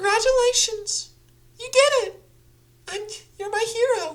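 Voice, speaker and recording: A put-on character voice at an extremely high pitch, moving at a moderate pace. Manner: sweet, cute and encouraging.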